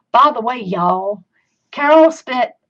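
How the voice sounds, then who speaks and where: Woman with an American accent. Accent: Southern US, comes out at times. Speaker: crafting video host. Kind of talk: live craft tutorial. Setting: live stream. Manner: chatty.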